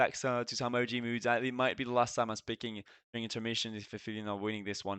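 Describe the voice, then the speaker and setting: Talking at a very fast pace with a French accent, a man keeps a medium pitch and fairly even intonation. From France. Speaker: esports caster and streamer. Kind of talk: live commentary. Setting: live stream.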